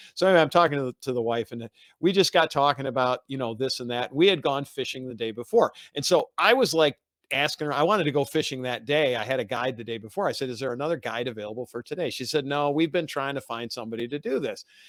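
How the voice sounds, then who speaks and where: Pitched fairly high with ordinary variation, a man talks at a very fast pace in a dry, close sound with no echo. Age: 60s. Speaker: radio show co-host, retired handyman. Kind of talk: casual chat. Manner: halting, with many fillers and restarts.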